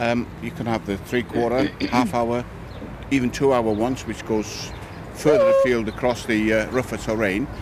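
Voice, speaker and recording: Noticeable background noise sits behind a man speaking at a moderate pace and a medium pitch. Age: 70s. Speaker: walking group member. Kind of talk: interview. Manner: casual.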